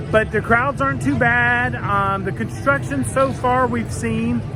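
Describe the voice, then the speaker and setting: A man speaks with very wide swings in pitch. Audible room echo surrounds him, and music plays in the background. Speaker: theme park vlogger. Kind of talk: walking vlog narration. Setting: outdoors. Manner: excitable.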